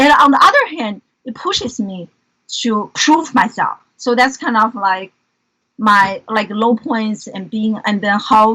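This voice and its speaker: A woman with a Chinese accent speaks at a fairly slow pace in a fairly high, bright and sharp voice with ordinary pitch variation. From China, Beijing. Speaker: educator and entrepreneur. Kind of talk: interview conversation.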